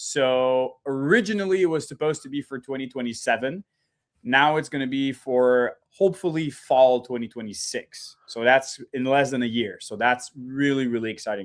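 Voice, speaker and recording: Recorded very cleanly with a silent background, a man with a French-Canadian accent talks at a medium pitch, his loudness swinging widely. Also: ordinary pitch variation, moderate pace. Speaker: reptile breeder. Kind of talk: casual interview chat.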